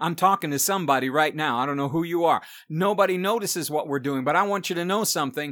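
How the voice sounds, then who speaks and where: At a very fast pace, a man speaks in a fairly high pitch with a bright, sharp tone and ordinary pitch variation. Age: 60s. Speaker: preacher. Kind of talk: sermon.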